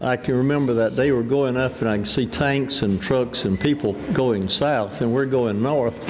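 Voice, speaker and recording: Over noticeable background noise, a man speaks at a medium pitch with ordinary pitch variation, very even loudness and hardly any pauses. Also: moderate pace. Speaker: war veteran. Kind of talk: interview testimony.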